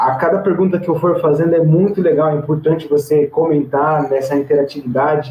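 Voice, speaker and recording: At a moderate pace, a man with a fairly high pitch and a plain, everyday voice speaks with ordinary pitch variation. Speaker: theology teacher. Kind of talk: online lecture. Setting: recorded online video class. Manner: casual, filler-heavy (tá, né, é).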